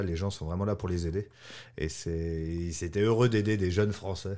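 Against a quiet background, a man with a dark, mellow tone talks at a moderate pace with fairly even intonation. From east-central France. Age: 40s. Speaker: French immigrant, salesperson. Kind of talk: interview. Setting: studio. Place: studio.

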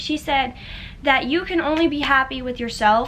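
Light background noise sits behind a woman speaking in a high pitch. She has an American accent. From Florida. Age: 20s. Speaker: YouTuber. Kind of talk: casual vlog talk to camera. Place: home room. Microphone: phone near.

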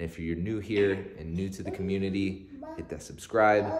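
Against noticeable background noise, a man with a fairly low pitch speaks at a moderate pace. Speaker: vlogger. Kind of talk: casual vlog chat. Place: kitchen. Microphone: phone near.

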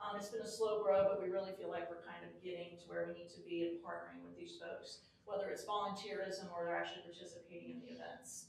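Noticeable background noise runs beneath speech delivered at a very fast pace. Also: hardly any pauses. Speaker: parks and recreation official. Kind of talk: presentation to a council meeting. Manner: loud.

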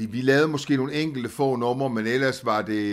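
A man's voice with ordinary pitch variation. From Southern Jutland, Denmark (Als, Augustenborg). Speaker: singer. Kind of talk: interview. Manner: hesitant, many fillers.

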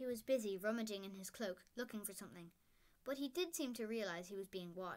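The speaker reads in a natural reading voice.

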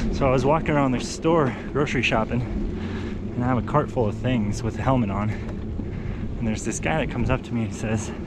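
Over loud background noise, a man speaks at a fairly quick pace with ordinary pitch variation, and the sound is dry with no echo. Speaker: bike commuter vlogger. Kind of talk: casual vlog chat. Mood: amused, smiling storyteller. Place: bicycle. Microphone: phone near.

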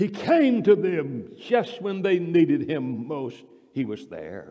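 A man speaks at a very slow pace over a quiet background. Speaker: preacher. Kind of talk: sermon. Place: church. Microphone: podium.

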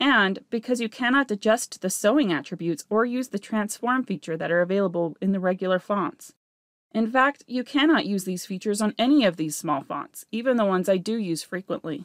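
A woman at medium pitch and a fairly quick pace, lively intonation, dry, close sound with no echo, very clean recording and silent background. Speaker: embroidery digitizing teacher. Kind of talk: software tutorial narration. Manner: fast-talking.

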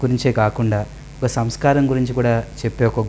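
The speaker keeps a fairly even intonation over light background noise. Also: man. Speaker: interview host. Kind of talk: interview. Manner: calm. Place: home room.

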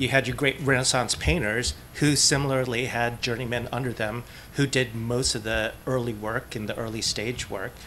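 A man at a moderate pace, fairly even in intonation, over light background noise. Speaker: AR developer. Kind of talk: convention panel discussion. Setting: stage with audience. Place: meeting room. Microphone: podium.

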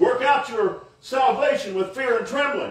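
Fairly slow speech from a man, amid audible room echo and light background noise. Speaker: preacher delivering a sermon. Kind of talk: sermon / preaching to a congregation. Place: tent. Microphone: camera far.

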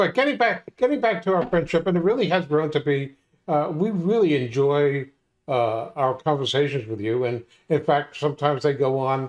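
Over a quiet background, a man with a fairly high voice talks at a moderate pace with lively intonation. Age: 60s. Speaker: podcast co-host. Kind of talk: casual chat. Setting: video call. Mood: warm, joking. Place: home room. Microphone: video call.

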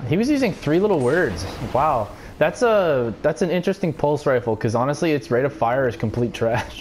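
A man at a fairly quick pace with very wide pitch swings, over noticeable background noise. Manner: explosive, expletive-laden outbursts at opponents; frustrated yelling broken by sudden laughter.

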